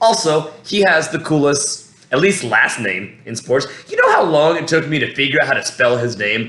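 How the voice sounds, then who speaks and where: Speaking at a moderate pace with lively intonation, a man with an American accent has a fairly high pitch, and noticeable background noise can be heard. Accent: American-sounding voice. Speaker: MMA fan commentator. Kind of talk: casual fight breakdown monologue. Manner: rambling, halting with many fillers.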